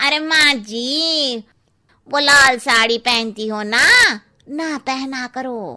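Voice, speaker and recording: A cartoonish character voice speaks at a very slow pace with ordinary pitch variation. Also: woman, high pitch for a woman. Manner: cheeky, blunt.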